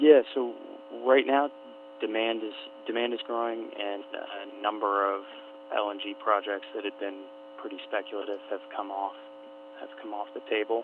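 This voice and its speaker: A man speaks at a moderate pace with big swings in loudness and long, frequent pauses, over noticeable background noise. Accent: American. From Alaska. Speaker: energy analyst. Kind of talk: radio interview. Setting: radio broadcast.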